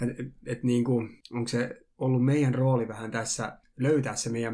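Flat and monotone, a man talks at medium pitch. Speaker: youth worker, former substance abuser. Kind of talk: casual discussion. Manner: halting, many filler words.

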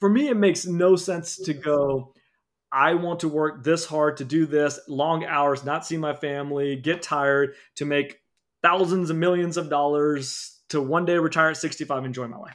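Speaking at a moderate pace, a man has a plain, everyday voice, fairly high in pitch, with fairly even intonation. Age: 30s. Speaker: dentist and practice owner. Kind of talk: interview.

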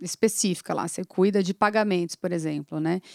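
A woman's normal speaking voice at medium pitch, moderate in pace, with fairly even intonation and a dry, close sound with no echo on a very clean recording with a silent background. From São Paulo city, Brazil. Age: 40s. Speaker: agribusiness executive. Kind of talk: casual interview.

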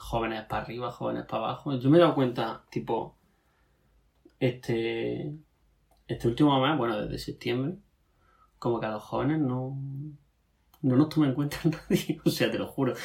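A man with a medium-pitched, somewhat breathy voice speaks at a moderate pace. His pitch varies in an ordinary way, and he takes long, frequent pauses. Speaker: podcast co-host. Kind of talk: casual chat.

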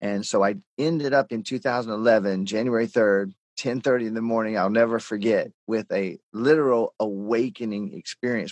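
A man's normal speaking voice at medium pitch and moderate pace, with ordinary pitch variation and a dry, close sound free of echo. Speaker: author and coach. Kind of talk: interview.

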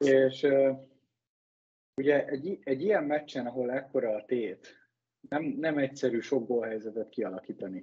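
Dark and mellow in tone, a man's medium-pitched voice moves at a moderate pace with ordinary pitch variation. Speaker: ice hockey player and expert guest. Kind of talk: casual sports discussion.

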